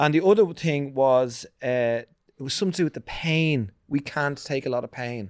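In an Irish accent, a man talks at a moderate pace with a fairly high pitch and ordinary pitch variation, on a very clean recording with a silent background. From Ireland, Ballantyre. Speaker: podcast guest. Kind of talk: casual chat.

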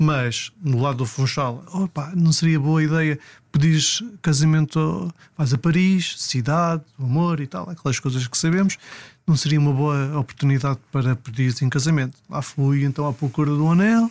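The speaker is a man with a fairly high pitch. His voice is somewhat breathy at a moderate pace. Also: ordinary pitch variation. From Portugal, Madeira. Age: 40s. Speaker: personal trainer. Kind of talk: casual interview, storytelling.

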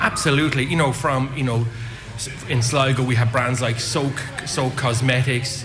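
Audible room echo and noticeable background noise surround a man who talks at a moderate pace in a medium pitch with monotone, flat intonation. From Dublin, Ireland. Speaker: airport retail manager. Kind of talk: live radio interview. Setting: outside broadcast at airport arrivals hall.

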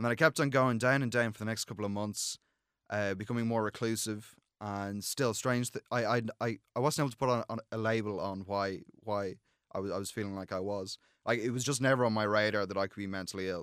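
A man speaks with an Irish accent at a fairly low pitch and a fairly quick pace. His intonation is fairly even, and the recording is very clean with a silent background. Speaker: student and mental health founder. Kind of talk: interview. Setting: studio. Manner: halting.

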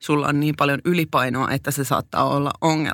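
A woman with a very deep, low voice talks at a moderate pace. Her intonation is fairly even, and the recording is very clean with a silent background. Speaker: podcast co-host. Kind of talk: personal testimony in casual chat. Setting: studio.

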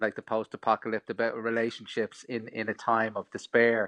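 A man with an Irish accent speaks at a moderate pace and a medium pitch. The sound is dry and close with no echo, over a quiet background. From Ireland. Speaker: film director. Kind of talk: interview.

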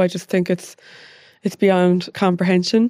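Delivered fairly quickly in an Irish accent, the voice has a dark, mellow tone and monotone, flat intonation, with a dry, close sound and no echo. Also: woman. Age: 30s. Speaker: podcast host. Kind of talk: casual chat interview.

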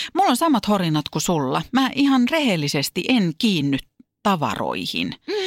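In a very clean recording with a silent background, a woman at a medium pitch speaks at a moderate pace with very even loudness, very wide pitch swings and vocal fry. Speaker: podcast co-host and entertainer. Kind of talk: casual chat. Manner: distinctive stresses and speech rhythm.

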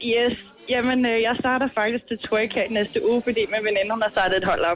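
Noticeable background noise behind a woman with a fairly high pitch, a moderate pace, and fairly even intonation. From Ishøj, Copenhagen area, Denmark. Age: 20s. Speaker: radio show caller. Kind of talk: casual chat.

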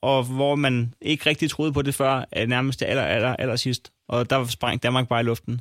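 A man's normal speaking voice at medium pitch and a fairly slow pace, dry and close with no echo. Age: 30s. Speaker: comedian and podcaster. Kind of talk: casual chat.

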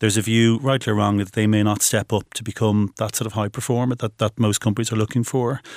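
In an Irish accent, a man speaks very fast at a medium pitch with monotone, flat intonation, the sound dry and close with no echo on a very clean recording with a silent background. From Ireland. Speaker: recruitment business founder. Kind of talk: interview. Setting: studio.

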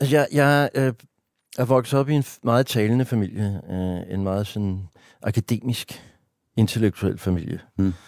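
A man at medium pitch, fairly slow pace and ordinary pitch variation, on a very clean recording with a silent background. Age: 50s. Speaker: stand-up comedian and writer. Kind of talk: casual interview conversation. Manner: talkative.

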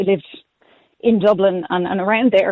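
A woman's medium-pitched voice in an Irish accent. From Ireland, Galway. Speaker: cycle commuter. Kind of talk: radio phone-in. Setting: phone call.

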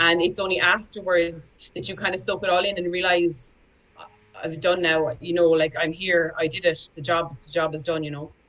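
A woman with a Cork accent speaks at a moderate pace, her pitch fairly low. Her loudness swings widely while her intonation stays fairly even. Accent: Cork Irish. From Ireland, Cork. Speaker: retired Paralympic discus thrower. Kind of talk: radio panel chat.

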